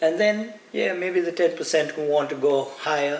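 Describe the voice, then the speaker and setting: A man talks at a moderate pace with ordinary pitch variation as noticeable background noise continues. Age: 60s. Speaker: fitness coach. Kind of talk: motivational talk to camera. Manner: animated.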